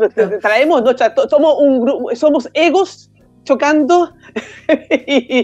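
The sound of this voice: A woman speaks slowly in a high pitch with ordinary pitch variation and a slightly mellow tone. Faint music plays in the background.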